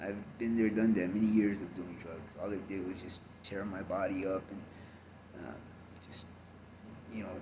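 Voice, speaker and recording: A man with an American accent speaks at a moderate pace and fairly low pitch, in monotone, flat intonation. His loudness swings widely, and audible room echo is present. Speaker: former gang member and ex-convict. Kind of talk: testimony. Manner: halting, many fillers.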